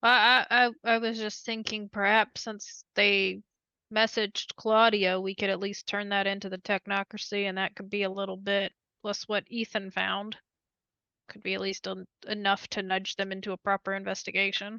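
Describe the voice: Recorded dry and close with no echo, a woman at medium pitch speaks at a moderate pace in a clear, smooth, bright and sharp tone with little pitch movement.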